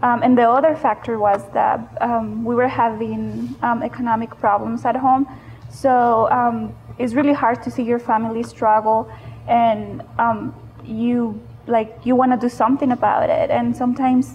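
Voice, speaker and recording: A woman speaks with a Spanish accent while music plays in the background. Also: moderate pace. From Mexico. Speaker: panelist. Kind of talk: panel discussion.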